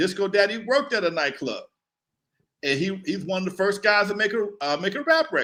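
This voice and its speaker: In an American accent, a man with a high pitch and a bright, sharp tone projects a raised voice at a moderate pace, his pitch swinging very widely. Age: 60s. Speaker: hip hop pioneer and former club owner. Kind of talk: interview storytelling.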